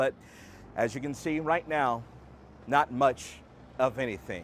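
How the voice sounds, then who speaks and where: This man has a normal speaking voice at a medium pitch, with ordinary pitch variation. He talks at a fairly slow pace. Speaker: TV news reporter and anchor. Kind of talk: live TV news field report. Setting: outdoors.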